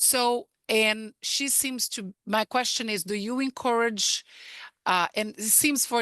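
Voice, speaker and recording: A woman with a Portuguese accent speaks at a very slow pace in a fairly high pitch and a bright, sharp tone, with a dry, close sound, no echo and a quiet background. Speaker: parent. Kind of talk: question at information night. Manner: halting.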